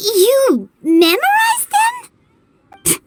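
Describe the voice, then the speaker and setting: Squeaky and extremely high-pitched, a put-on character voice bounces with lively intonation over music in the background. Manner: surprised, incredulous.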